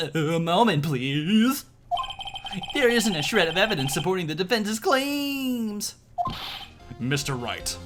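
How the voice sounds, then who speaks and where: A man's put-on character voice, high-pitched, at a fairly slow pace, with faint music in the background. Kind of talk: comic overacting. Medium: game stream.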